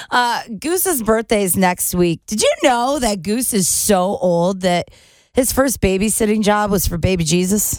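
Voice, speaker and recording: A woman with an unremarkable speaking voice talks at a fairly slow pace and a medium pitch. Her intonation is lively. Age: 40s. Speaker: radio host. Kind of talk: casual chat.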